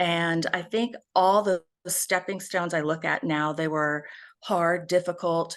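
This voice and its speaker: A woman talks in an ordinary speaking voice with a fairly low pitch and fairly even intonation. Her pace is fairly slow, and the background is quiet. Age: 60s. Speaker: speaker and advocate for abuse survivors, author. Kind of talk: interview.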